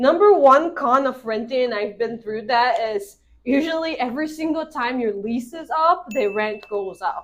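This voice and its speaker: Her high-pitched voice flows with hardly any pauses as this woman speaks with lively intonation. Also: moderate pace. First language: not English. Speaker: real estate agent. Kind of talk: casual explainer video.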